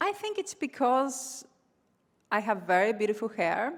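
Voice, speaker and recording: A woman's fairly high voice at a fairly slow pace, on a very clean recording with a silent background. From Argentina, Cordoba. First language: Spanish. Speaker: comedian. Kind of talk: stand-up. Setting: stage with audience.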